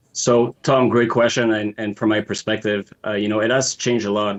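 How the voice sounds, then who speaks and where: At a moderate pace, a man with a Montreal accent talks in a fairly low pitch with a monotone, flat intonation. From Quebec, Montreal. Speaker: footwear designer. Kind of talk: interview.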